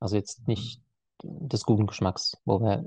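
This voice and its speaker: A somewhat breathy man's voice with a dark, mellow tone and a dry, close sound with no echo. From Swabia, Germany (Heilbronn area). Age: 30s. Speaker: etiquette and conflict trainer. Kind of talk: podcast interview. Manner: hesitant, many filler sounds.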